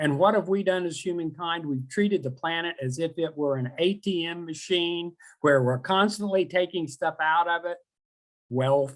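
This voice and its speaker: At a moderate pace, a man with a slight Oklahoma accent speaks in a high voice with ordinary pitch variation. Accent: Oklahoma twang, slight. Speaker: professor. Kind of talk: lecture. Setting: webinar.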